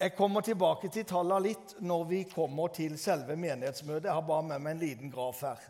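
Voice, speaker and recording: Music plays behind a man with a high-pitched voice. He talks at a fairly quick pace, hardly pausing. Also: ordinary pitch variation. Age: 60s. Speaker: preacher. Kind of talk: sermon. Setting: church.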